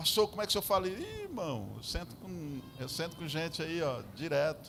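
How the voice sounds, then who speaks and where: Audible room echo surrounds a man speaking at a fairly quick pace with a fairly high pitch and lively intonation. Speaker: pastor. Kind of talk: sermon. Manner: animated.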